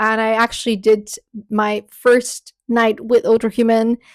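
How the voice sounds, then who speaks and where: A woman speaks in a high pitch with a Bulgarian accent. The recording is very clean, with a silent background. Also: dry, close sound with no echo. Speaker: spiritual content creator and podcaster. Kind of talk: vlog update with product promotion.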